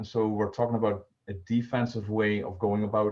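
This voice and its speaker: With a Dutch accent, a man speaks in a dark, mellow tone. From Netherlands. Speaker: volunteer personal finance presenter. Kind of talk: online presentation. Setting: video call. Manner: halting, many filler words. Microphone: poor stream quality.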